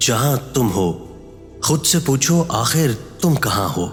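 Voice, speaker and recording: Over music in the background, a man at a medium pitch talks with very wide pitch swings. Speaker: voice-over artist. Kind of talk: inspirational quote narration.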